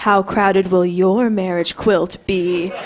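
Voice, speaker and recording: Using a put-on character voice, a woman speaks at a medium pitch and a fairly slow pace with flat, monotone intonation. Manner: scary, spooky storytelling.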